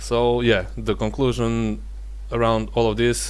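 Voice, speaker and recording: A man speaks with a non-native accent. Audible room echo surrounds his voice. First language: not English. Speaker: gaming tech youtuber. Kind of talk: benchmark review talk. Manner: halting, many fillers.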